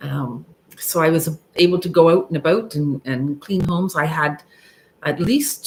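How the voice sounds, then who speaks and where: At a fairly slow pace, a woman speaks with a very deep, low pitch and fairly even intonation. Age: 60s. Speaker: YouTuber sharing midlife life story. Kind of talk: live stream monologue, personal story. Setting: live stream. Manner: halting, many fillers.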